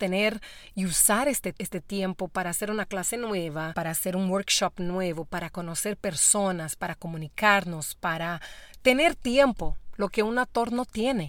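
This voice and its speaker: Lively in intonation, a woman with a Brazilian accent speaks at a moderate pace on a very clean recording with a silent background. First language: Portuguese (speaking Spanish). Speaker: actress and voice actor. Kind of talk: interview. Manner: halting.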